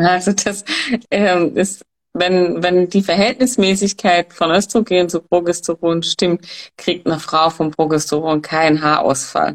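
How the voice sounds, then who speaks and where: A woman with a normal speaking voice talks at a fairly slow pace and a fairly low pitch, with ordinary pitch variation, very even loudness and a dry, close sound with no echo. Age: young. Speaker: hormone coach. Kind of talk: expert talk.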